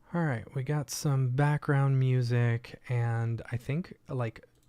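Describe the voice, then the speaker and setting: Speaking quietly and at a fairly slow pace, a man has a dark, mellow tone. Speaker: livestream host, 3D artist. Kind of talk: casual livestream tutorial.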